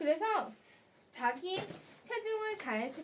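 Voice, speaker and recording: With very wide pitch swings, a woman speaks in an animated tone over noticeable background noise. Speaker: live shopping host. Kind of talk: live sales stream. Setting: live stream on camera.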